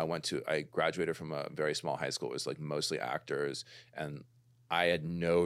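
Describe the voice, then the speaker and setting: Speaking with an American accent, a man has a very deep, low voice with vocal fry. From Los Angeles, California. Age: 50s. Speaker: musician. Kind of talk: casual chat.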